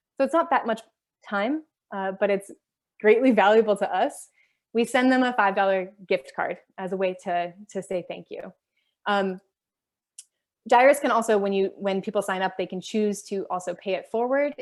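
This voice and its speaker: In an American accent, a woman talks at a moderate pace with long, frequent pauses. The recording is very clean, with a silent background. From Michigan, Holland. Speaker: linguistics professor. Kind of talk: lecture.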